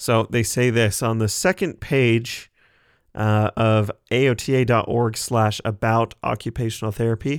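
A man with an Idaho accent speaks at a fairly slow pace and medium pitch with fairly even intonation, in a very clean recording with a silent background and a dry, close sound with no echo. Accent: American (Idaho). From US, southeast Idaho. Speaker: podcast host, occupational therapy assistant student. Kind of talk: solo educational podcast. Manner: casual with frequent fillers and repetitions.

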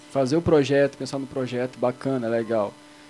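Over noticeable background noise, a man talks at a medium pitch and a moderate pace. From Belém, Pará, Brazil. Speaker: podcast co-host. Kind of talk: casual chat.

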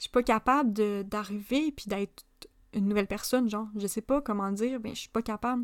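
Fairly quick and fairly even in intonation, a voice in a Quebec accent shows big swings in loudness, recorded very cleanly with a silent background and a dry, close sound with no echo. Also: woman, fairly high pitch for a woman. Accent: Québécois French. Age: 20s. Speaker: podcast host. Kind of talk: casual monologue. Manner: hesitant with fillers.

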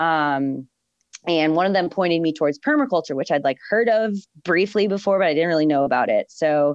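A woman with an ordinary speaking voice, fairly low in pitch with ordinary pitch variation, at a fairly quick pace, with a dry, close sound with no echo and a quiet background. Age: 30s. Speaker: flower farmer and permaculture practitioner. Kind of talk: casual chat.

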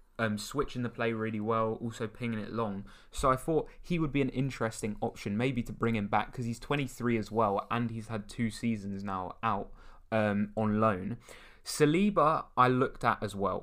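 Speaking at a medium pitch with normal pitch movement, a man with an unremarkable speaking voice is heard in a very clean recording with a silent background. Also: moderate pace. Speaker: football podcast co-host. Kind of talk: casual chat. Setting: studio.

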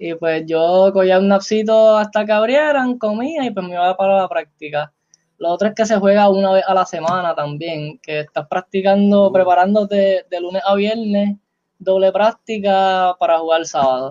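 A man speaks at a moderate pace in a high pitch, with ordinary pitch variation. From Puerto Rico, Trujillo Alto. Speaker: basketball player. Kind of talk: casual interview.

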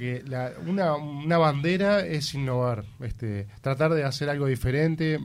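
A man speaks at a moderate pace with a fairly high pitch. He has an unremarkable speaking voice. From Uruguay. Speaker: musician in a rock band. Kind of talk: radio interview.

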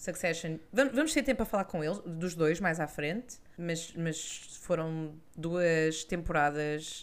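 A woman with a European Portuguese accent, fairly low in pitch, very slow in pace, with ordinary pitch variation. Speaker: culture podcast co-host. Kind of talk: casual chat.

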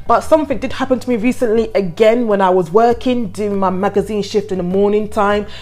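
Over noticeable background noise, a woman with a medium pitch talks at a fairly quick pace with ordinary pitch variation and hardly any pauses. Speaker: podcast host. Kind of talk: solo podcast commentary, reading a news story aloud. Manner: casual, chatty, halting.

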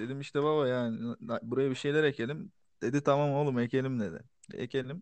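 Speaking at a moderate pace, a man has a medium pitch, ordinary pitch variation and a plain, everyday voice. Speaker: podcast co-host. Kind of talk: casual chat. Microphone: distant, too far from mic.

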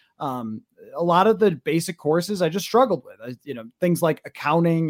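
An unremarkable speaking voice with an American accent, lively intonation and a fairly quick pace, in a dry, close sound with no echo. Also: man. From western New York. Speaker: sports radio broadcaster. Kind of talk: interview.

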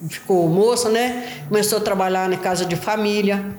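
A medium-pitched woman at a fairly slow pace, with audible room echo and noticeable background noise. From Belo Horizonte, Minas Gerais, Brazil. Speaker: favela resident, daughter of interviewee. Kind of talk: interview testimony. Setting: at home, on a sofa. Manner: halting, repetitive.

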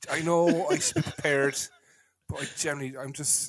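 This man, with a Cork accent, has a fairly high-pitched voice. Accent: Cork Irish. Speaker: podcast host and football fan. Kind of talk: casual chat podcast. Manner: ranting, animated.

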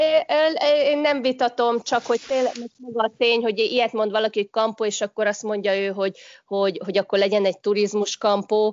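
A woman talks at a fairly quick pace with a fairly high pitch. Her pitch varies in an ordinary way, and her loudness stays very even. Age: 40s. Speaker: hotel industry professional. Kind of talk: casual interview.

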